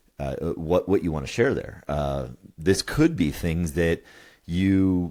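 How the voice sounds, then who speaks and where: A man's dark, mellow tone comes at a fairly slow pace. The recording is very clean, with a silent background. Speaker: couples coach and podcast co-host. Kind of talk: podcast conversation explaining a model. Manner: halting, stammers and says um a lot.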